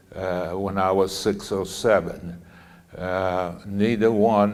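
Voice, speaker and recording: In a room with audible echo, a man speaks very slowly in a fairly low pitch with monotone, flat intonation. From Poland, Lodz. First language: Polish. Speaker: Holocaust survivor speaker. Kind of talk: talk to students. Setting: school audience. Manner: halting.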